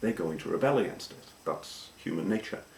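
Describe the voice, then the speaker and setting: With a slight Welsh accent, a man speaks at a fairly quick pace over noticeable background noise. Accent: anglicised Welsh, slight Welsh. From Wales. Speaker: vlogger. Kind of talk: casual talk to camera.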